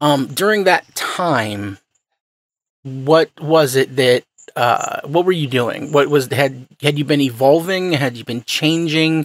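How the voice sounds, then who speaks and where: A man's normal speaking voice, fairly high in pitch and fairly slow, with a dry, close sound and no echo. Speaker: podcast host. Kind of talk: interview.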